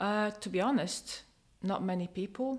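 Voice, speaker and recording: A woman with a Polish accent at a fairly slow pace, on a very clean recording with a silent background. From Poland. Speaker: domestic abuse survivor. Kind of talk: testimony. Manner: halting.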